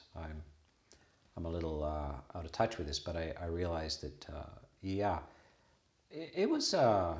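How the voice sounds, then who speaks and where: A man's very deep, low voice at a moderate pace, somewhat breathy, with ordinary pitch variation, big swings in loudness and long, frequent pauses. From western Canada. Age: 60s. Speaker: Buddhist monk and abbot. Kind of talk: casual conversation.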